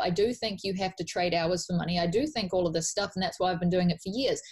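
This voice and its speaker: A woman speaks very fast. Her voice is somewhat breathy. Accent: New Zealand. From New Zealand. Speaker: life coach. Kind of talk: podcast interview. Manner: animated.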